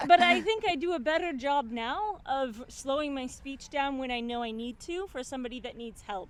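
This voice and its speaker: Against noticeable background noise, a woman with an American accent speaks at a high pitch with lively intonation and hardly any pauses. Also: moderate pace, big swings in loudness. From US Midwest, Minnesota (St Paul). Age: 30s. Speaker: expat interviewee. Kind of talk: interview.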